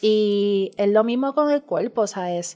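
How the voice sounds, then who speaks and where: An ordinary speaking voice, a woman's, at a fairly slow pace with ordinary pitch variation. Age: 40s. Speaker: drag artist and community mother. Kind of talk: casual chat.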